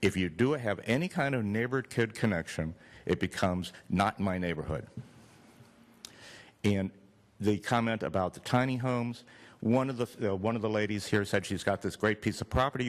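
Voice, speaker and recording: A man's normal speaking voice, fairly low in pitch with ordinary pitch variation, at a fairly quick pace in a very clean recording with a silent background. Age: 60s. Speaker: public commenter at city meeting. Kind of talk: public comment. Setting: city planning commission meeting.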